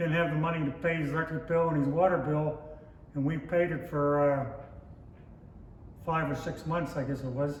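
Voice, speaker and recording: With an American accent, a man speaks in a monotone, flat way at a moderate pace and a fairly high pitch, leaving long, frequent pauses amid noticeable background noise and audible room echo. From western Pennsylvania (Pittsburgh north hills). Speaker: lodge member, oral history interviewee. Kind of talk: oral history interview.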